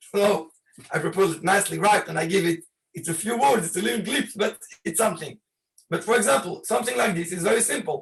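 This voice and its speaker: Ordinary pitch variation shapes a man's speech as he goes at a fairly quick pace. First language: not English. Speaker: rabbi. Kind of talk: video call presentation. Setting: video call. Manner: halting.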